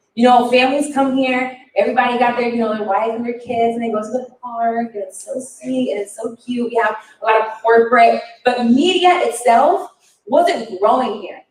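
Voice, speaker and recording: A woman with an American accent talks at a moderate pace in a high voice, her pitch rising and falling in the ordinary way. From Florida. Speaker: podcast coach. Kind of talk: keynote speech. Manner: stutter.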